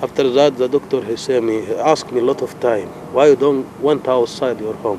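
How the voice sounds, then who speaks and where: A man talks with a medium pitch. His intonation stays fairly even against noticeable background noise. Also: fairly quick pace. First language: not English. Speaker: asylum seeker. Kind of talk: interview. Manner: halting.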